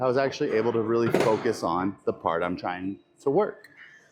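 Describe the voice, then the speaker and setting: A man with a medium pitch talks at a moderate pace and with lively intonation as noticeable background noise carries on. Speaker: fitness vlogger and bodybuilder. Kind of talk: casual gym vlog. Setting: gym. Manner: halting, stuttering.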